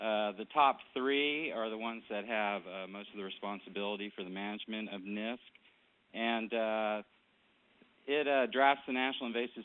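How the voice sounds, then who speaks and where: At a moderate pace, a man with a Southern US accent speaks at medium pitch with fairly even intonation. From Louisiana. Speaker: conservation director. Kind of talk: webcast presentation. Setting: webcast.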